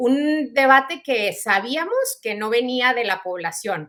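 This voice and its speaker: Bright, sharp tone comes through on a very clean recording, with total silence in the background. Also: woman. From Mexico. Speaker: lawyer, human rights advocate. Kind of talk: interview.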